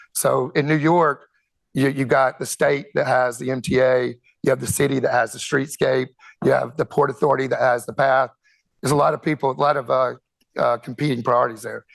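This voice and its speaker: With a Southern US accent, a man talks at a fairly quick pace. His pitch is medium and his intonation fairly even. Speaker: conference speaker, telecom executive. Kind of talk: conference presentation. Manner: halting, many fillers and repetitions.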